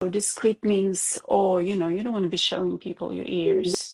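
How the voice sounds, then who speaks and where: The sound is dry and close, with no echo. A woman with a non-native accent speaks at a fairly slow pace. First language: not English. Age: 40s. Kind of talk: interview. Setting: video call. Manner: halting, many hesitations.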